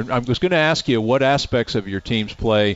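At a fairly quick pace, this is a plain, everyday voice with ordinary pitch variation. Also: man. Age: 60s. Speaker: radio play-by-play announcer and show host. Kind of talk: live radio sports show, interviewing. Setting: live from a restaurant studio.

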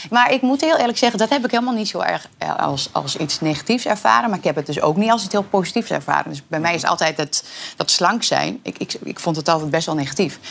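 Her pitch sits fairly low for a woman, with very wide swings. This woman talks at a very fast pace. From Twente, eastern Netherlands. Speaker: talk show guest. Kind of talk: casual chat. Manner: halting.

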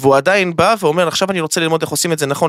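Speaking very fast, a man with a fairly high pitch uses ordinary pitch variation in a dry, close sound with no echo. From Israel (Ashdod). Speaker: crypto trading academy founder. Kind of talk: casual chat. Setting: studio. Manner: animated.

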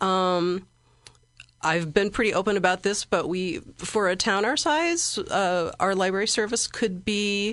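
With a Midwestern American accent, a woman speaks at a fairly slow pace. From Central Illinois, US Midwest. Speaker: library director. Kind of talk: interview.

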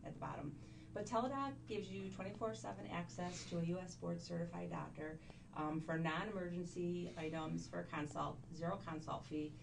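Noticeable background noise runs under this recording. The woman speaking keeps a moderate pace. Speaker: health insurance consultant. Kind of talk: sales pitch.

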